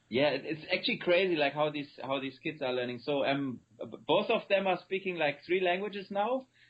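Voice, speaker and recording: Speaking with a German accent, a man talks at a fairly quick pace and fairly high pitch, with lively intonation and hardly any pauses. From Germany. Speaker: company founder and CEO. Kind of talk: interview. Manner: halting.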